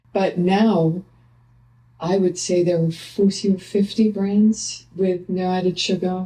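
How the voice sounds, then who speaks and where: Somewhat breathy and dark, mellow in tone, a woman speaks very slowly in a monotone, flat intonation. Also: medium pitch for a woman. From Switzerland. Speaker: nutritionist. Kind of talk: casual interview chat.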